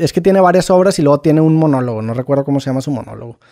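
A man speaks at a fairly high pitch with ordinary pitch variation. His tone is dark and mellow. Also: dry, close sound with no echo. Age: 30s. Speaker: podcaster. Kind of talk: casual chat.

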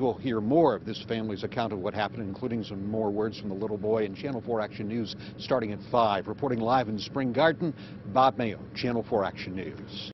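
The sound is dry with no echo, and there is noticeable background noise. A man speaks at a fairly quick pace with a fairly low pitch. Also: ordinary pitch variation. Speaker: TV news reporter. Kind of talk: live news report sign-off. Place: street. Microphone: handheld.

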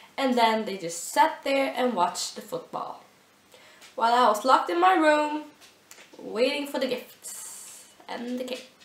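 Lively intonation and big swings in loudness come through long, frequent pauses, along with audible room echo and noticeable background noise. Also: woman, high pitch for a woman, fairly slow pace. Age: 19. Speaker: vlogger. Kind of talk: casual vlog.

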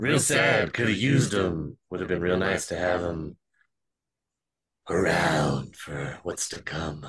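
A man's raspy put-on character voice, very deep and low in pitch, with lively intonation at a fairly slow pace. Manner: smooth, mock-friendly, menacing.

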